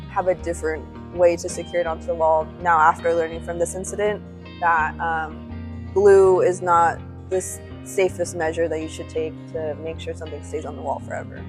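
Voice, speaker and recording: A woman talks at a moderate pace with music in the background. Her loudness swings widely. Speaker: museum exhibits preparator. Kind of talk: casual talk to camera, workplace tour.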